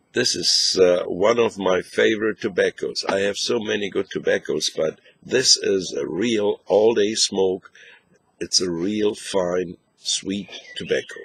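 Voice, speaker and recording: A man with a German accent speaks at a fairly slow pace, his voice dry and close with no echo. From northern Germany. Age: 60s. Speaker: pipe smoking video blogger. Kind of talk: casual video review. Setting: outdoors. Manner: halting.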